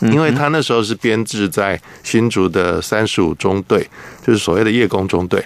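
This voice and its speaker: A man has an ordinary speaking voice, pitched fairly low with ordinary pitch variation. He keeps a moderate pace and very even loudness. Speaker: journalist, former air force maintenance technician. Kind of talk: radio interview.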